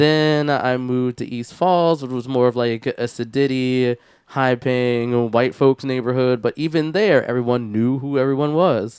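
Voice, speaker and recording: A man with an American accent and an unremarkable speaking voice talks at a fairly slow pace in a medium pitch, with ordinary pitch variation and hardly any pauses. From Philadelphia, US. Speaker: podcast co-host. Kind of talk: casual chat. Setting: studio.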